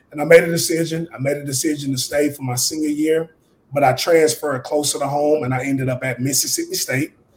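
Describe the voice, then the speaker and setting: Fairly high-pitched and flat in a monotone, a man talks fairly quickly in a Southern US accent. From US South (Mobile, Alabama). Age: 30s. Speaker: real estate investor. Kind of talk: interview.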